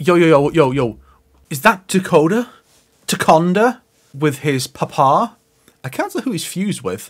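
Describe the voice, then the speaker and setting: A man speaks in an animated, excited tone at a high pitch. Long pauses come often. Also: lively intonation, moderate pace, quiet background. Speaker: gaming YouTuber. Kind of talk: trailer reaction commentary. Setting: recording early morning at home. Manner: animated, excited reactions.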